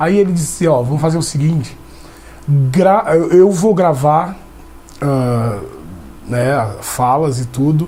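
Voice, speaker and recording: Very slowly, a man speaks with long, frequent pauses and ordinary pitch variation. Noticeable background noise and audible room echo fill the recording. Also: fairly high pitch for a man. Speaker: actor. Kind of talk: interview. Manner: halting, with many restarts.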